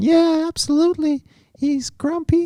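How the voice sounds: A put-on character voice, pitched high. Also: moderate pace.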